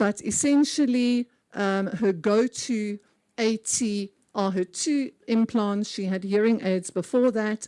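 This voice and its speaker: A woman with a South African accent speaks at a very slow pace in a dark, mellow tone. Her pitch variation is ordinary, and the sound is dry and close with no echo. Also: fairly high pitch for a woman. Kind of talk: conference talk.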